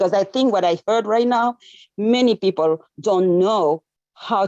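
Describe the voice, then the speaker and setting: The voice has a dark, mellow tone and lively intonation at a moderate pace, with a dry, close sound and no echo. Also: woman. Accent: French. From Senegal. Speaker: medical professional. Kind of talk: casual chat. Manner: animated.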